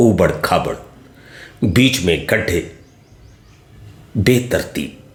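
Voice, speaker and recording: A man speaks with lively intonation. The room's echo is audible. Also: medium pitch for a man. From India, Varanasi (Uttar Pradesh). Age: 60s. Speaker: retired geography lecturer. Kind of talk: political monologue addressed to voters. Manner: formal.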